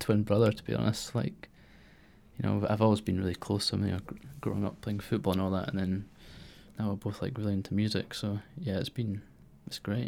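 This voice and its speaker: A man with a Scottish accent speaks very fast at a fairly low pitch, with vocal fry and ordinary pitch variation. The recording is very clean, with a silent background. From Scotland, Fife. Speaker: musician and arts administrator. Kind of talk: casual interview.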